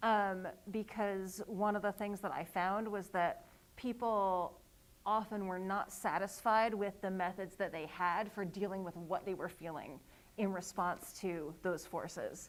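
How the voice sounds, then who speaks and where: A plain, everyday voice at a fairly slow pace with fairly even intonation, on a very clean recording with a silent background. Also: woman, medium pitch for a woman. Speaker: author and workshop leader. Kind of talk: workshop presentation. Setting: live event with audience.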